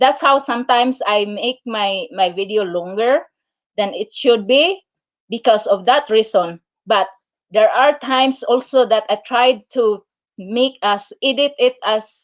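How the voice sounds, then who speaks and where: A woman with a Filipino accent speaks at a fairly slow pace and a fairly high pitch, with ordinary pitch variation. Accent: Filipino accent, noticeable. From Philippines. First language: Filipino/Tagalog. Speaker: YouTuber. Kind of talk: live stream chat. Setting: live stream. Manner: halting, many fillers.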